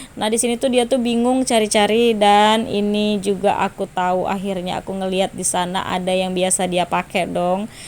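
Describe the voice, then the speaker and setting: A woman's voice with ordinary pitch variation. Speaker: vlogger. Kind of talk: voice-over vlog narration. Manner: casual, chatty with filler.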